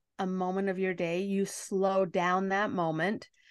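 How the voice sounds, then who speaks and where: This woman has an unremarkable speaking voice at a medium pitch. She talks at a fairly slow pace. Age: 50s. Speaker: life coach. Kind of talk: casual chat.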